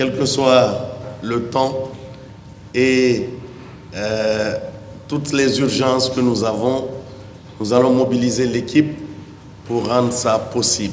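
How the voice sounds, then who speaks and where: The very slow, monotone, flat delivery has long, frequent pauses, with audible room echo and noticeable background noise. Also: man, medium pitch for a man. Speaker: hospital director giving opening speech. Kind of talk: formal opening speech. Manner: formal.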